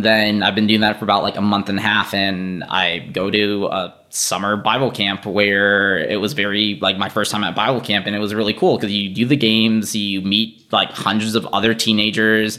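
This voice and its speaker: With music in the background, a man talks at a moderate pace with hardly any pauses, his pitch fairly low and his intonation monotone and flat. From Boston, Massachusetts, US. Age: 20s. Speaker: church member sharing life story. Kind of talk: testimony.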